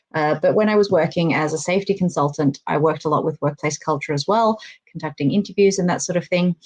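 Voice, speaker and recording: With an Australian accent, a woman speaks in fairly even intonation. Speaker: workplace safety and communications consultant. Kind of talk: online panel interview.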